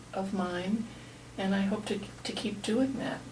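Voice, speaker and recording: A woman's voice carries audible room echo. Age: 70s. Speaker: retired writer and blogger, interview participant. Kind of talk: life story interview. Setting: recorded research interview. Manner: animated.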